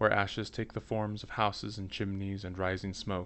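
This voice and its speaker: A man speaks with a very deep, low pitch. His intonation is fairly even and his pace moderate. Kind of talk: audiobook reading.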